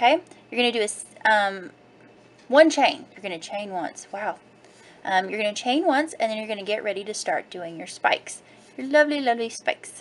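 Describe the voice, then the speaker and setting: A woman's plain, everyday voice, fairly high in pitch, fairly quick, with lively intonation and big swings in loudness. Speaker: crafting blogger. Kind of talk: tutorial. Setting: home video recording. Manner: casual, rambling.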